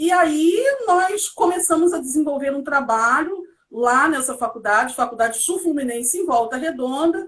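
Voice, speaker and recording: A woman's high-pitched voice at a fairly slow pace, with lively intonation. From Brazil, Seropédica, Rio de Janeiro state. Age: 40s. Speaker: educator and historian. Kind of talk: interview.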